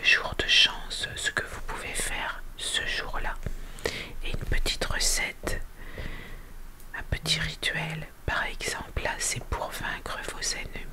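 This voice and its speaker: A woman whispers at a very slow pace with long, frequent pauses. Noticeable background noise can be heard. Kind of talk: ASMR book presentation. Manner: whispered.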